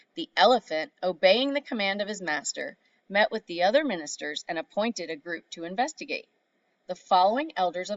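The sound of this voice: Lively intonation runs through an unforced reading voice, with a quiet background behind it.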